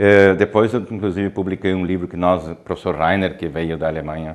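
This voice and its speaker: A man talks in a very deep, low voice. The background is quiet. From southern Brazil, Ijuí (Rio Grande do Sul). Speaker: professor and researcher in physical education. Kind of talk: interview. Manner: halting, with many fillers.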